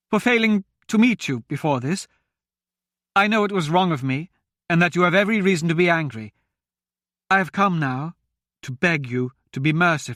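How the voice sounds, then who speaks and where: Using a put-on character voice, a man talks at a fairly quick pace in a high, shaky pitch with lively intonation and long, frequent pauses. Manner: pleading, fearful.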